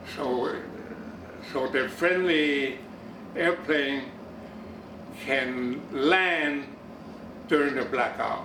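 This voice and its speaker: Through noticeable background noise, a man with a fairly high pitch speaks at a very slow pace with long, frequent pauses. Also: ordinary pitch variation. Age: 80s+. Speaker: war veteran. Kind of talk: interview answer.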